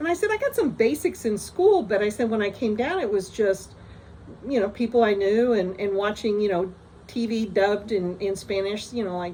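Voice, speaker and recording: With a General American accent and an ordinary speaking voice, a woman talks at a moderate pace. Her pitch is fairly high, with ordinary pitch variation. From US, moved around. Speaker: storyteller vlogger. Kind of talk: personal anecdote. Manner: casual, many fillers and restarts.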